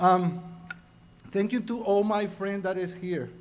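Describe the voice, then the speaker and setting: Crowd noise fills the background, with audible room echo. A man with a Spanish accent speaks at high pitch and a fairly slow pace. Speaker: award recipient. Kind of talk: acceptance speech.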